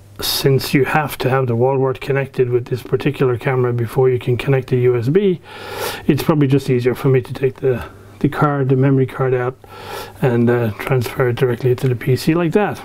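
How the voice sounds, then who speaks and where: The intonation is fairly even, and the words come at a fairly quick pace. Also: man. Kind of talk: casual tutorial chat. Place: workshop.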